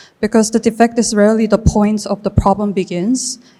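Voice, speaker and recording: A woman's dark, mellow tone in a Korean accent, on a very clean recording with a silent background. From South Korea. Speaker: artist and filmmaker. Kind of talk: reading aloud. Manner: halting.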